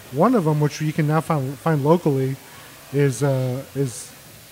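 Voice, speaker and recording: A man with an American accent speaks fairly slowly at a fairly high pitch. Noticeable background noise runs underneath. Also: long, frequent pauses. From Mexico, raised on the US border. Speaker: beer podcast host. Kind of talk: casual chat.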